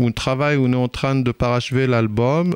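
This is a man with a medium pitch. He talks at a moderate pace. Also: dry, close sound with no echo. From Israel (Ashkelon region), Ethiopian parents. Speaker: reggae musician. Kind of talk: radio interview. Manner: hesitant, many fillers.

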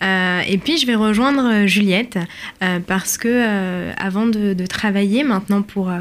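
An unremarkable speaking voice with ordinary pitch variation, delivered at a fairly slow pace. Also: woman. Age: 20s. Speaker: community manager. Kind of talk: radio interview.

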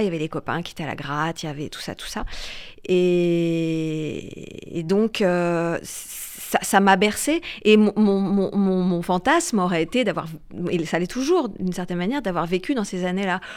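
A woman at medium pitch speaks at a fairly slow pace, with ordinary pitch variation and big swings in loudness. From France. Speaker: singer-songwriter and actress. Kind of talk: radio interview. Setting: radio studio. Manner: hesitant, many repetitions.

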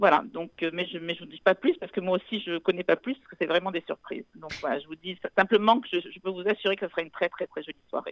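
Someone speaks at a very fast pace with hardly any pauses, ordinary pitch variation and big swings in loudness. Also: woman, medium pitch for a woman. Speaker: charity event organizer. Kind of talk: radio interview. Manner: halting.

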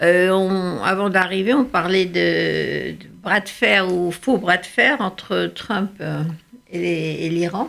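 Speaking at a very slow pace, a woman with a medium pitch shows ordinary pitch variation and big swings in loudness. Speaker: radio host, journalist. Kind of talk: radio interview. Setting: studio.

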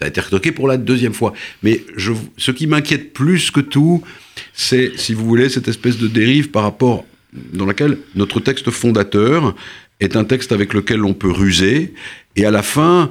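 A man talks at a medium pitch and a moderate pace, with ordinary pitch variation. His speech has long, frequent pauses. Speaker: author and essayist. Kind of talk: interview. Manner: halting, many repetitions and hesitations.

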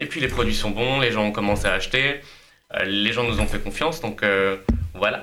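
At a moderate pace with long, frequent pauses, a man speaks with ordinary pitch variation. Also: fairly low pitch for a man. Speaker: food entrepreneur. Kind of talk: casual chat. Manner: energetic.

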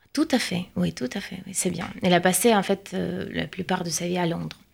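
A woman with a Russian accent speaks at a medium pitch with vocal fry in a very clean recording with a silent background. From Russia, Saint Petersburg. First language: Russian (speaking French). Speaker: translator and researcher. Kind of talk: radio interview.

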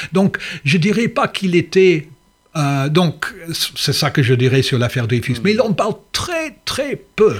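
A man with a high-pitched voice speaks at a fairly slow pace, his pitch swinging very widely. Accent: English. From England. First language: English (speaking French). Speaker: history professor. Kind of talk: interview. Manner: halting.

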